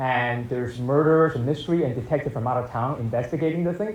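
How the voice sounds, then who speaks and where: Talking at a very fast pace, a man with a fairly high, somewhat breathy voice is heard with audible room echo. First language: not English. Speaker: film director and writer. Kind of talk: post-screening Q&A. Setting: stage with audience.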